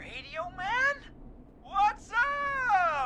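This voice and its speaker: Clear background noise sits behind a put-on character voice. The pitch is extremely high and swings very widely. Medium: video game. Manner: casual, slangy.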